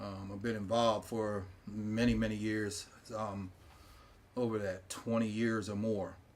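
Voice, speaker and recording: A man's fairly low, monotone voice with flat intonation, an American accent, a fairly slow pace, and audible room echo. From York, Pennsylvania, US. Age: 60s. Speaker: former school board president. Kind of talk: interview. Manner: halting, many fillers.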